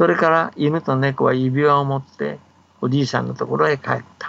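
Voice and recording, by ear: A man speaks with vocal fry and a fairly bright tone. The intonation is fairly even. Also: medium pitch for a man, moderate pace.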